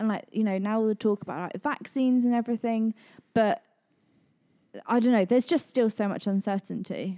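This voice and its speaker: A woman with a West Country accent, fairly high pitch and ordinary pitch variation, at a fairly quick pace with long, frequent pauses, in a very clean recording with a silent background. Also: dry, close sound with no echo. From Devon, England. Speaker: church team member, parent. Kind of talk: casual chat.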